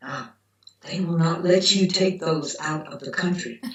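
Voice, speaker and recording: A woman speaks in a Southern US accent at a fairly slow pace. Her pitch is fairly low. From US South. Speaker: macrobiotics doctor. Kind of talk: interview storytelling.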